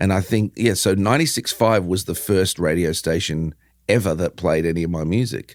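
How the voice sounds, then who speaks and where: Heard in a very clean recording with a silent background, a man with an Australian accent speaks at a moderate pace in a very deep, low pitch. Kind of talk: interview. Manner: casual, animated.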